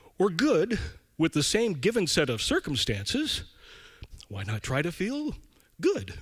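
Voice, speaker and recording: The pace is fairly slow. The pitch moves in very wide swings. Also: man. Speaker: storyteller. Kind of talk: live storytelling performance. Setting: live theater stage.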